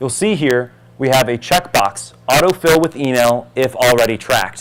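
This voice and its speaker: A man with a fairly high pitch talks with lively intonation. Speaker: conference presenter. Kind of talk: product demo talk. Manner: fast. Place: hall.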